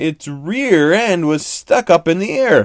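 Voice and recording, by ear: The delivery is slow in pace, with lively intonation.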